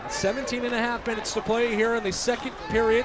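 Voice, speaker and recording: This man talks at a fairly quick pace in a high pitch. Noticeable background noise runs behind him. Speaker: radio play-by-play broadcaster. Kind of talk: live hockey radio play-by-play. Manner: fast.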